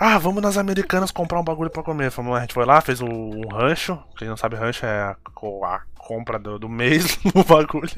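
A man with a fairly high voice talks at a moderate pace, his pitch swinging very widely and his loudness rising and falling a great deal. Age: 20s. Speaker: podcast host. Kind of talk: casual chat.

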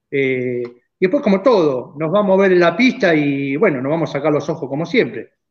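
Speaking fairly quickly in an ordinary speaking voice, a man uses a fairly high pitch and lively intonation. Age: 50s. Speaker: racing driver and car builder. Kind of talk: casual chat.

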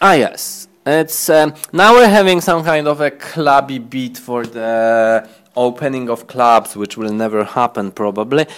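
Speaking at a fairly slow pace with hardly any pauses, a man with a medium pitch uses lively intonation. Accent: Polish. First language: Polish. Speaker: fashion designer and shop owner. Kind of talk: casual interview chat. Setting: in a fashion shop.

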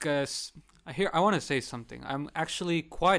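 The recording is very clean, with a silent background. A man talks at a moderate pace in an ordinary speaking voice with ordinary pitch variation. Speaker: student podcast co-host. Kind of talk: casual discussion.

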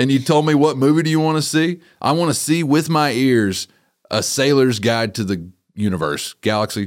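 In a West Texas accent, the speaker moves at a moderate pace with lively intonation. The recording is very clean, with a silent background. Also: man, medium pitch for a man. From West Texas (Littlefield). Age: 30s. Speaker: rancher and podcaster. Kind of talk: casual chat.

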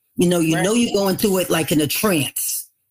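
A somewhat breathy woman's voice in a New York accent, with lively intonation on a very clean recording with a silent background. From New York City, the Bronx. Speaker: author. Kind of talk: interview.

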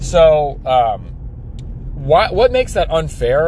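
A man speaks at a very slow pace while noticeable background noise sounds behind him. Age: 30s. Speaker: podcast host and pool service business owner. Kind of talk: solo monologue podcast. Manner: halting, many fillers.

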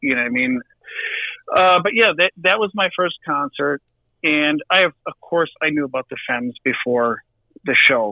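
In a Wisconsin accent, a man talks at a fairly high pitch for a man. His intonation is lively and his pace moderate. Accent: Wisconsin Midwestern US. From Milwaukee, Wisconsin. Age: 40s. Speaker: drummer in a rock band. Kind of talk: casual podcast interview.

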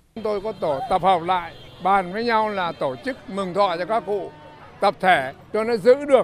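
With music in the background, a man with a high pitch speaks at a fairly slow pace and with lively intonation. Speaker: festival organizer. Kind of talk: interview statement in news report.

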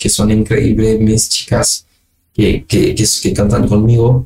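A man speaks in a somewhat breathy voice. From Haiti. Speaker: singer-songwriter. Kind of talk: interview. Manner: halting.

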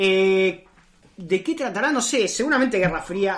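This voice moves at a moderate pace with very wide pitch swings. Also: woman. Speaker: podcast host. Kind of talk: casual chat.

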